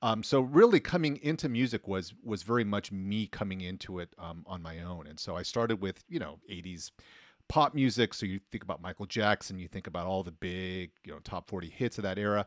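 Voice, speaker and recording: With a plain, everyday voice, a man talks at a fairly quick pace with a fairly low pitch, lively intonation and big swings in loudness, in a very clean, dry, close recording with a silent background and no echo. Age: 40s. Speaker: sociology professor and DJ. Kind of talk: casual chat.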